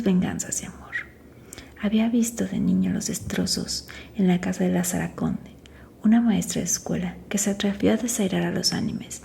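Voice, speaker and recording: There is noticeable noise in the background. A woman talks at a moderate pace. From Mexico. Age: 40s. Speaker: makeup artist. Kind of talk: ASMR book reading. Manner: soft-spoken, quiet.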